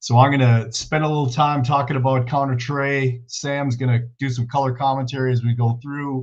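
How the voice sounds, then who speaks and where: A somewhat breathy male voice at a moderate pace, monotone and flat in intonation, with hardly any pauses. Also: medium pitch for a man. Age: 60s. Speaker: football coach. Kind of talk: clinic presentation.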